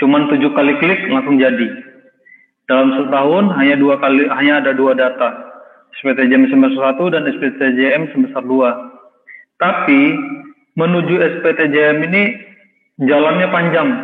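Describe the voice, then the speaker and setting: With audible room echo, a man talks at a moderate pace in a fairly high pitch, his intonation fairly even and his pauses long and frequent. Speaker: software trainer. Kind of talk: tutorial.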